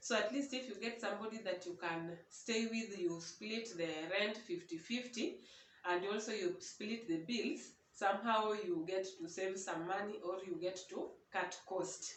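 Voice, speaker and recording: Speaking with a non-native accent, a woman talks at a fairly slow pace with medium pitch and ordinary pitch variation. There is audible room echo. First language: not English (English is her third language). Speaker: vlogger. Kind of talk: casual vlog monologue. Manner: halting.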